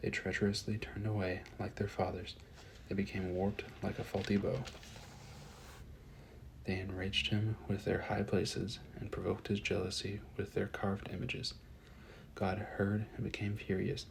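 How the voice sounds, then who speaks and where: A soft-spoken man talks with a fairly low pitch and a somewhat breathy sound. His intonation is monotone and flat, with long, frequent pauses. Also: moderate pace. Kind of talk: soft-spoken scripture reading, ASMR. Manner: soft-spoken, relaxing.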